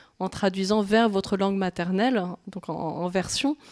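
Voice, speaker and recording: Speaking at a moderate pace with fairly even intonation, the voice comes through a very clean recording against a silent background. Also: woman. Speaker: manga translator. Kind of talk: public talk interview. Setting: library event with live audience. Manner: halting, many hesitations.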